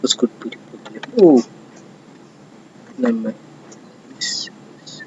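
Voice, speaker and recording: Noticeable background noise fills the clip. The voice carries a non-native accent. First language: not English. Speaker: cybersecurity intern. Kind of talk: screen-share tutorial. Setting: self-recorded screen recording. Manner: halting.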